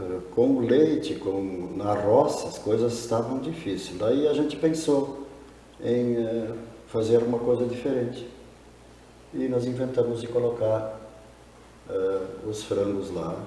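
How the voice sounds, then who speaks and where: Fairly slow speech with long, frequent pauses and ordinary pitch variation, set in audible room echo and noticeable background noise. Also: man, medium pitch for a man. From southern Brazil, rural. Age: 60s. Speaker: poultry farmer. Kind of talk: interview.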